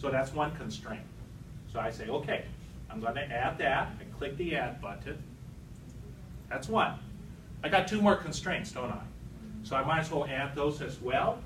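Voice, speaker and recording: A fairly high-pitched man speaks with ordinary pitch variation and long, frequent pauses. Audible room echo and noticeable background noise surround his voice. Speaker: instructor. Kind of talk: lecture. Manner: slow.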